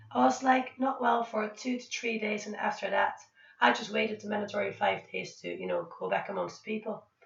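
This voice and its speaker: Noticeable background noise fills the recording. Over it, a woman talks fairly quickly. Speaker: vlogger. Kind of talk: casual vlog talk.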